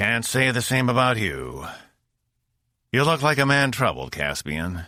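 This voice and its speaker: In a put-on character voice, a man speaks at medium pitch and a moderate pace with very wide pitch swings, recorded very cleanly over a silent background. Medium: read story. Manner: intimidating, terse.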